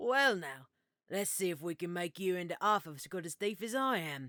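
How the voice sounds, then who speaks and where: Putting on a gruff character voice, a woman at medium pitch speaks at a moderate pace with lively intonation on a very clean recording with a silent background. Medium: read story. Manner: wry, sarcastic.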